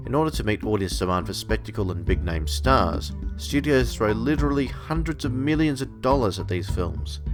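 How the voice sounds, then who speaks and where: A fairly quick voice in an Australian accent with very wide pitch swings, music in the background. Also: man, very deep, low pitch for a man, hardly any pauses. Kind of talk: opinion commentary to camera.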